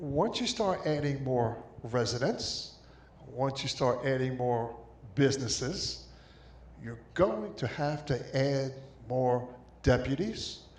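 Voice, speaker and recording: A man with an American accent at a very slow pace, with long, frequent pauses and audible room echo. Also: medium pitch for a man, ordinary pitch variation. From Long Island, New York. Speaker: resident speaking at town hall. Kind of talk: public comment at town hall. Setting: town hall meeting with mic. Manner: somewhat quiet.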